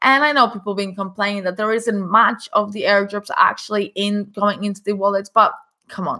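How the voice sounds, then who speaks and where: Medium-pitched and at a moderate pace, a woman talks in a plain, everyday voice with fairly even intonation. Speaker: crypto news vlogger. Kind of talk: casual news commentary.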